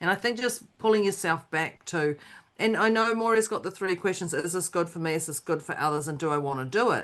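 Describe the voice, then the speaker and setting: A woman with an unremarkable speaking voice talks at a fairly quick pace in a fairly low pitch. Her intonation is lively against a quiet background. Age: 50s. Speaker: podcast co-host. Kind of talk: casual chat.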